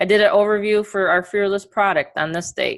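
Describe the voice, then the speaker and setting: At a moderate pace, a woman speaks with an American accent and a medium pitch. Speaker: online marketing coach. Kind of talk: webinar training presentation. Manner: casual, filler-heavy.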